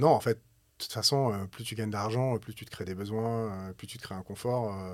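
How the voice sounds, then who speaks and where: A man at a medium pitch and moderate pace, in a very clean recording with a silent background. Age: 40s. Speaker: musician, entrepreneur and novelist. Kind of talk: casual conversation.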